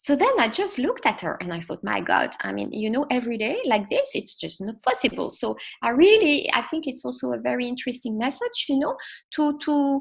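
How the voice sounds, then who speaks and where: Captured on a very clean recording with a silent background, a woman talks at a fairly quick pace. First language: not English. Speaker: sophrologist and children's mindfulness coach. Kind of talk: parenting class talk. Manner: halting, many fillers.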